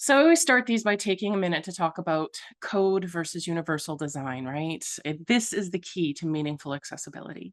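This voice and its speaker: At a very fast pace, a woman speaks with a fairly low pitch against a quiet background. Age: 40s. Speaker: accessibility consultant. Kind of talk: presentation. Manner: animated.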